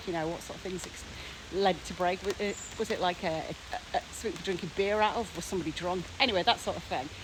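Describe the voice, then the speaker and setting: A woman talks at a very fast pace with fairly even intonation over noticeable background noise. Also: medium pitch for a woman. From Teesside, England. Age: 40s. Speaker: academic. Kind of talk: casual talk to camera.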